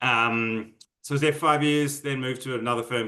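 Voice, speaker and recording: A man with an Australian accent and a bright, sharp tone, at a fairly quick pace with fairly even intonation. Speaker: MBA student. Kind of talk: interview. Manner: hesitant, filler-heavy.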